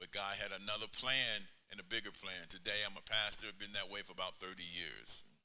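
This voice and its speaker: A man speaks at a moderate pace with an American accent. Audible room echo surrounds his voice. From El Paso, Texas. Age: 70s. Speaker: pastor and former basketball player. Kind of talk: interview on stage.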